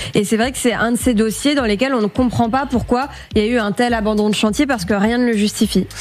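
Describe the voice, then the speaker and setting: A woman speaks very fast in a fairly high pitch. Her loudness stays very even and her intonation fairly even. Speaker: show researcher; panelist, consumer lawyer. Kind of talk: case briefing. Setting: studio. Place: studio. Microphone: studio mic.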